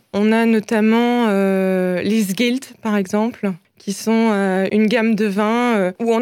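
A woman with a fairly high pitch, ordinary pitch variation and an ordinary speaking voice. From Alsace, France. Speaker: wine sales manager. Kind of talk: radio interview.

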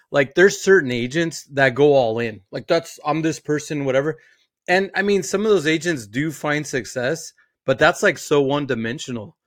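On a very clean recording with a silent background, an animated man speaks at a moderate pace, fairly high in pitch with ordinary pitch variation. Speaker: podcast co-host. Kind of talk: casual chat.

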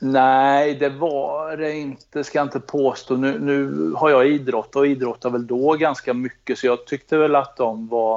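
This man's voice sits fairly high and moves at a fairly slow pace. His intonation is fairly even. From Värmland, Sweden (near Karlskoga). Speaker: police cold case unit chief. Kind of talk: interview. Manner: halting, many repetitions.

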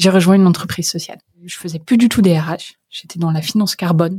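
A woman's somewhat breathy, fairly low voice at a fairly quick pace, with ordinary pitch variation. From northern France, near Paris (Creil, Oise). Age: 30s. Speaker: startup founder and CEO. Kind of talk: interview.

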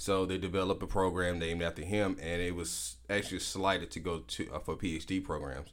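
A man with an Alabama accent and vocal fry speaks at a fairly quick pace with hardly any pauses, his very deep, low pitch showing ordinary pitch variation. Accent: Southern US (Alabama). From US South, Prichard, Alabama (Mobile County). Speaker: lawyer. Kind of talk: casual interview. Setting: studio.

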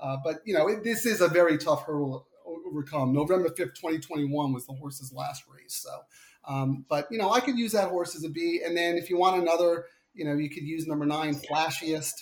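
At a moderate pace, a man talks with a Long Island accent. His voice is fairly high, with ordinary pitch variation. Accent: Long Island, New York. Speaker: podcast guest, horse racing handicapper. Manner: casual, conversational, frequent filler words.

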